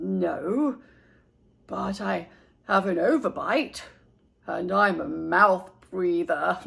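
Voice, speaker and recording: A put-on character voice sits at a middle pitch. It moves at a very slow pace, broken by long, frequent pauses. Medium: read story. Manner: polite, fussy.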